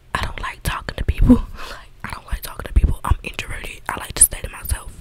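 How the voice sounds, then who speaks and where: A woman's whisper at a very fast pace. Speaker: ASMR creator. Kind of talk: casual rambling. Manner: relaxed, informal slang. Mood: mildly annoyed, candid. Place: home room. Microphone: studio mic.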